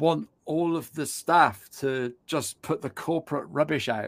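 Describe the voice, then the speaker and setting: On a very clean recording with a silent background, a man speaks in a British accent. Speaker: podcast host. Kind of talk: interview chat. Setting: live video show.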